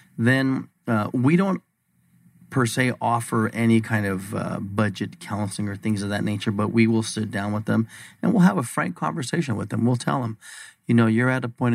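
Talking at a fairly quick pace, a man uses a plain, everyday voice with medium pitch and ordinary pitch variation. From Arizona, Bisbee. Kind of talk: radio interview.

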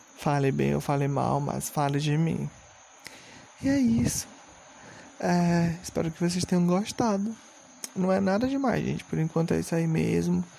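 Long pauses come often in this man's speech. His pace otherwise stays moderate. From Brazil, Maranhão. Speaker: podcast host. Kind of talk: casual solo monologue. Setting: home recording with noisy fans at night.

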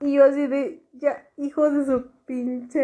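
A woman with a dark, mellow tone speaks with a Mexican accent. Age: 30s. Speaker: podcaster. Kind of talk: casual monologue.

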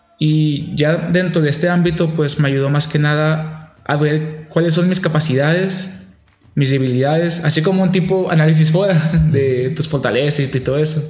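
A man's fairly high voice at a moderate pace, fairly even in intonation and very even in loudness, with audible room echo. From Nogales, Sonora, Mexico. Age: 20s. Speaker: seminarian. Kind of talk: casual interview.

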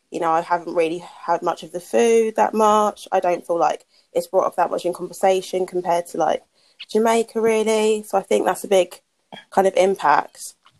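With a British accent, a woman speaks with ordinary pitch variation in a dry, close sound with no echo. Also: medium pitch for a woman, moderate pace. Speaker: podcast co-host. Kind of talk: casual chat.

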